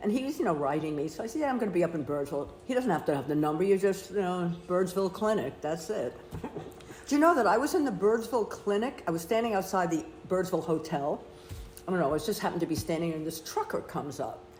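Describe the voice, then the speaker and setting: Amid noticeable background noise, an animated woman with an American accent races along very fast at a fairly low pitch with lively intonation. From United States. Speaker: retired nurse. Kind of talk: casual chat.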